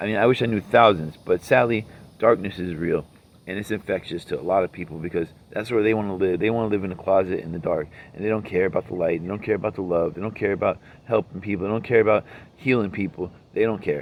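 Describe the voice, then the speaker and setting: This man talks at a very fast pace. His pitch is fairly low and varies in an ordinary way. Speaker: vlogger. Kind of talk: personal monologue vlog. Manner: rambling, repetitive.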